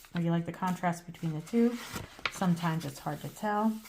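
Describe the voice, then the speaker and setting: Amid noticeable background noise, a woman with a fairly low pitch talks at a fairly quick pace with ordinary pitch variation. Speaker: crafter. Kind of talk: tutorial. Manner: casual, with many fillers.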